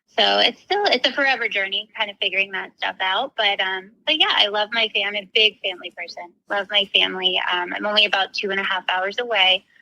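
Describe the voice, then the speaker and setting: A woman with an American accent and a plain, everyday voice, medium in pitch, at a fairly quick pace with hardly any pauses, in a dry, close sound with no echo. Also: fairly even intonation. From Florida, US. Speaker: recovery coach. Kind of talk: casual interview chat.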